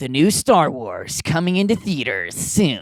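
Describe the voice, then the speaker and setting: A put-on character voice sits at a middle pitch. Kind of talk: commercial. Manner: earnest, dramatic trailer announcer.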